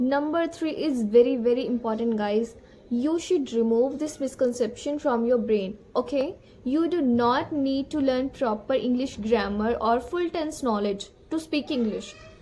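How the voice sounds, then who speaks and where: In a Punjabi accent, a woman speaks at a fairly slow pace with a high pitch. Her tone is dark and mellow, and her pitch varies in an ordinary way. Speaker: English-speaking coach. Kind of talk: tutorial. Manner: casual, conversational.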